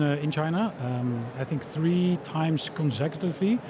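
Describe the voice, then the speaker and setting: Noticeable background noise runs under a man who speaks at a moderate pace with ordinary pitch variation. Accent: European. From Europe. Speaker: tech company founder, former diplomat. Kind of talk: interview at expo. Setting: live event stage.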